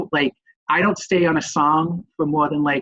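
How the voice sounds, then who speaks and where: A man with a Boston accent at a moderate pace. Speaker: nurse educator, webinar presenter. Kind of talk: webinar presentation. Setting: online webinar. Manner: casual, hesitant with many fillers.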